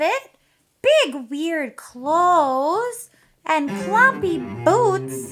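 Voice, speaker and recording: A cartoonish, high-pitched character voice with a playful tone moves at a very slow pace over faint music in the background. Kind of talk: children's puppet show. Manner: excitable, playful.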